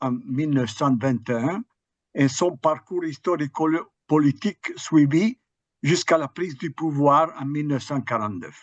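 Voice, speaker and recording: In an Italian accent, a man speaks at a fairly high pitch and a fairly slow pace with ordinary pitch variation and a dry, close sound with no echo. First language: Italian (speaking French). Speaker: history professor. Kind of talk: academic lecture. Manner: halting, with hesitations.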